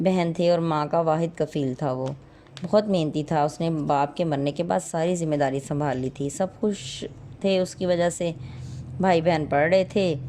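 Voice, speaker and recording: Using an unremarkable speaking voice, a woman talks at a fairly low pitch with fairly even intonation. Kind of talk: moral story narration.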